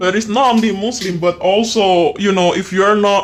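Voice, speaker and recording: A man speaks with an Indonesian accent at a moderate pace. His intonation is monotone and flat. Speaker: podcast host. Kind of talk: casual chat. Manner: halting.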